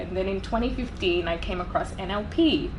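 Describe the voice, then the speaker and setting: A woman talks fairly quickly at a medium pitch with very wide pitch swings. There is noticeable background noise and audible room echo. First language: not English. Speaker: business and leadership coach. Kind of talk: interview.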